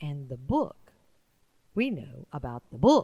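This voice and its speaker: Using a put-on character voice, a woman speaks very deep and low at a fairly slow pace. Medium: read story.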